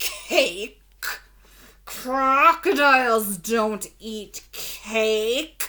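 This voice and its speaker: A woman in a loud, put-on character voice at a fairly high pitch and a very slow pace. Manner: fierce.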